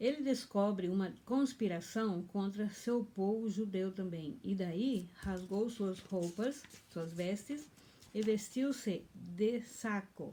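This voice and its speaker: The woman's tone is dark and mellow, and somewhat breathy. She talks at a very slow pace. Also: medium pitch for a woman, ordinary pitch variation. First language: German (now dominant) (speaking Portuguese). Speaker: pastor. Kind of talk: bible teaching, partly reading aloud. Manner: halting.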